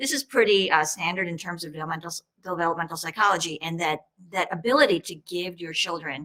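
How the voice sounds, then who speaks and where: A woman with an American accent, fairly low-pitched, her bright, sharp tone and lively intonation carried at a fairly quick pace. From US, New York. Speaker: state senator. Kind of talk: panel discussion.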